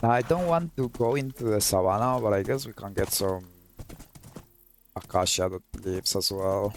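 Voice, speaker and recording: With a Colombian accent and lively intonation, a man speaks at a moderate pace, leaving long, frequent pauses. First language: Spanish. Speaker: gaming YouTuber. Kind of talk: gameplay commentary. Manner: halting, with repeated words.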